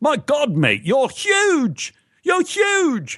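In a put-on character voice, a man with a New Zealand accent speaks at an extremely high pitch.

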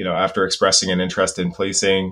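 A very clean recording with a silent background, at a fairly quick pace. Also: man. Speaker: sociology professor. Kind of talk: interview.

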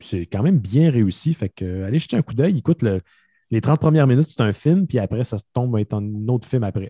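A man speaks at a medium pitch and a fairly quick pace, his voice somewhat breathy with a dark, mellow tone and lively intonation. The sound is dry and close with no echo, over a quiet background. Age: 30s. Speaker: podcaster guest. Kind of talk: casual chat.

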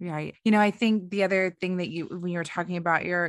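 A woman with a plain, everyday voice talks at a medium pitch and a fairly quick pace. Her intonation is fairly even, over a quiet background. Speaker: podcast host. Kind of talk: interview.

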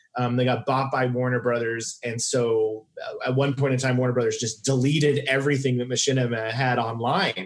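A man speaks in an unremarkable speaking voice with an American accent. He keeps a medium pitch and a moderate pace. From Oklahoma, Tulsa. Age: 40s. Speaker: comedian. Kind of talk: casual chat.

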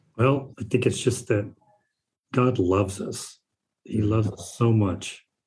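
A man with a medium pitch talks at a fairly slow pace and with fairly even intonation, his somewhat breathy voice broken by long, frequent pauses. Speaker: investor. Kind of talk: interview conversation.

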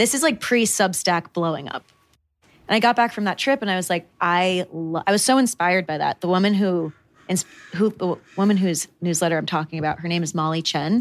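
A woman with an ordinary speaking voice talks in an American accent at medium pitch. Her pace is fairly quick, with ordinary pitch variation. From rural Connecticut, New England. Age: 20s. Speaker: newsletter founder and writer. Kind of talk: casual chat. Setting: studio.

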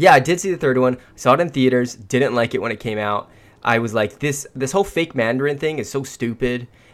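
A man speaks in a plain, everyday voice at medium pitch and a fairly quick pace, with ordinary pitch variation. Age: 20s. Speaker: podcast co-host. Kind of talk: casual chat.

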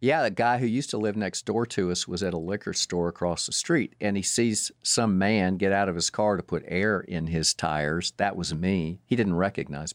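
Moderate pace in a Southern US accent, ordinary pitch variation, a dry, close sound with no echo, and a very clean recording with a silent background. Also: man, fairly low pitch for a man. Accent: Southern US (Georgia). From Atlanta, Georgia, US South. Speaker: parent of the host. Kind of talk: casual chat. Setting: studio.

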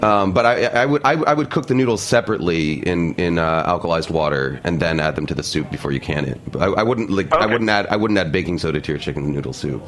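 Talking at a very fast pace with hardly any pauses, a man with an American accent uses a very deep, low pitch and very wide pitch swings over noticeable background noise. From New York City (Harlem). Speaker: cookbook author. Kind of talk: casual chat. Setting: studio.

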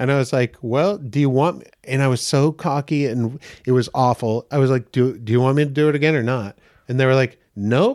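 A plain, everyday voice, a man with an American accent at a medium pitch and fairly quick pace, with ordinary pitch variation, in a dry, close sound with no echo and a very clean recording with a silent background. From Maine, US. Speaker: actor and comedian. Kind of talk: casual chat.

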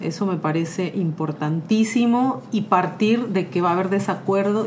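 Against noticeable background noise and audible room echo, a woman talks at a moderate pace. Her pitch is medium, with ordinary pitch variation. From Mexico. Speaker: social communicator and feminist activist. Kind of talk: casual chat.

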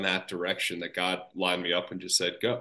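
A man's bright, sharp tone over a quiet background. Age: 30s. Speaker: podcast host and accountant. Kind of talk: interview. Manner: casual.

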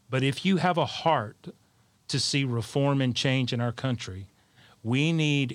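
A man with an Alabama accent on a very clean recording with a silent background. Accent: Southern US (Alabama). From South Alabama. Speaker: leadership coach, parent. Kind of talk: panel discussion.

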